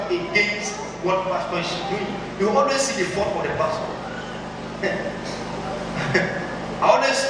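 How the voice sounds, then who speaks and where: Amid noticeable background noise and strong room echo, a man speaks at a fairly slow pace. He leaves long, frequent pauses. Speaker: preacher. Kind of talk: sermon. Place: church.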